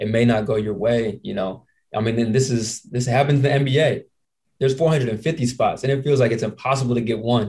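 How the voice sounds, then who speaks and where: A man with an American accent speaks at a moderate pace. His voice is somewhat breathy, with fairly even intonation. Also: quiet background. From Indiana. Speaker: podcast host and basketball player; podcast host. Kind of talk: casual chat. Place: home room. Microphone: handheld.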